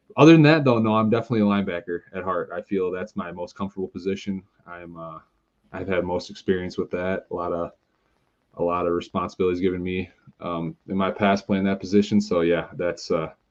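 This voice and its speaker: With a slight Wisconsin accent, a man speaks very fast at a very deep, low pitch, keeping fairly even intonation while his loudness swings widely. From Milton, Wisconsin, US Midwest. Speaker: indoor football player. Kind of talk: podcast interview. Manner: halting, many fillers.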